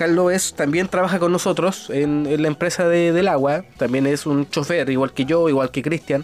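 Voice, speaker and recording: Moderate pace with hardly any pauses, very even loudness and fairly even intonation, in a Chilean accent, with noticeable background noise. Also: man, fairly high pitch for a man. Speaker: podcast host; driver. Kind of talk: casual chat.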